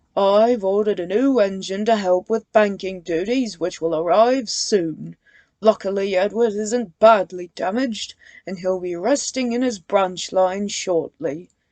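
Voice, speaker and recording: Using a put-on character voice at a medium pitch, a woman speaks at a moderate pace. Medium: read story. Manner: formal, authoritative.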